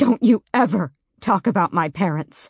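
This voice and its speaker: A woman puts on a growling character voice at a medium pitch. Her intonation is lively and her pace moderate. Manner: snarling, furious.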